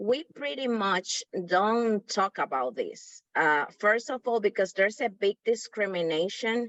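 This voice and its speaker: A woman with a Spanish accent speaks at a fairly slow pace, her intonation lively and her speech hardly broken by pauses. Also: fairly high pitch for a woman. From Dominican Republic. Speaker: workshop participant. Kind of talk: group discussion comment.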